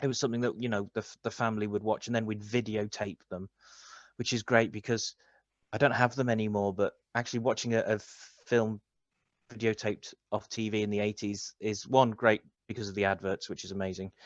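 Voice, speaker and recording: A man talks at a fairly quick pace in a fairly low pitch, his intonation flat and monotone, with a dry, close sound and no echo. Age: 40s. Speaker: film lecturer and author. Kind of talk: interview. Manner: halting.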